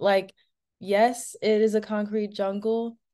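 At a fairly slow pace, a woman with an American accent speaks in a dark, mellow tone against a quiet background. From suburban Maryland. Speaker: food systems young professional; webinar panelist. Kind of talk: webinar panel discussion. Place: home room. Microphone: video call.

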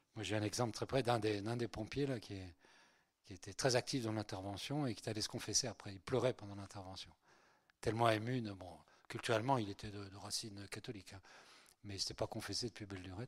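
A man's fairly low voice at a very fast pace, fairly even in intonation, over a quiet background. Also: big swings in loudness. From France, Breton family, born in Spain. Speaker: priest. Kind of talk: lecture. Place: hall. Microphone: handheld.

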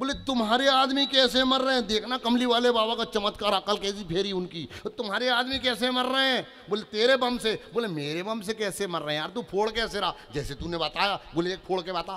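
Raised and projected, a man's high voice sounds animated, with ordinary pitch variation. He keeps a moderate pace with hardly any pauses. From Chhindwara district, Madhya Pradesh, India; Madhya Pradesh, India. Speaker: comedic poet. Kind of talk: stand-up comedy poetry performance. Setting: stage with audience. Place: stage. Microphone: handheld.

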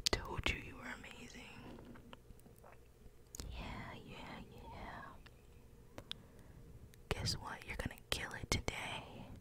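The voice whispers at a very slow pace with long, frequent pauses, and background noise can be clearly heard. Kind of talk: ASMR motivational whisper. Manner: upbeat, encouraging.

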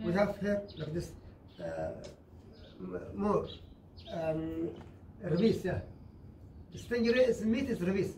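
A man speaks in a high pitch at a very slow pace. Light background noise and audible room echo are present. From Socotra, Yemen. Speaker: fisherman. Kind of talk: storytelling to visitors. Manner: animated, comic timing. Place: tunnel cave. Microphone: camera far.

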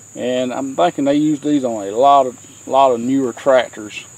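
The recording sounds dry, with no echo. A man talks at a moderate pace. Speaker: tractor owner explaining repair. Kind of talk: tutorial. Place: farm machine. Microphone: phone near.

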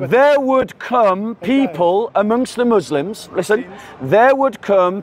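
A man speaks at a fairly slow pace with lively intonation. The sound is dry with no echo, and there is light background noise. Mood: argumentative, interrupted. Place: street.

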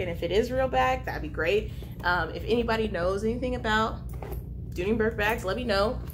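A woman talks at a fairly quick pace, noticeable background noise present throughout. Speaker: vlogger. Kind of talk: casual vlog chat. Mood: cheerful, chatty. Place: home room. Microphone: camera far.

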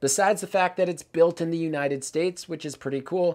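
A man's voice against a quiet background. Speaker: bike reviewer. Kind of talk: product review commentary.

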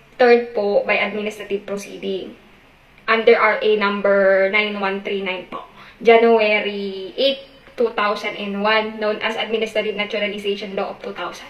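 A woman speaks at a moderate pace in a monotone, flat intonation. There is audible room echo. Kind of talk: acted phone call, customer service talk.

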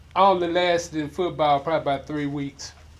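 A man talks at a moderate pace and a fairly high pitch with fairly even intonation. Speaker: online show host. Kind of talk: casual interview. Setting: studio. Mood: jokey, animated storytelling. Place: studio.

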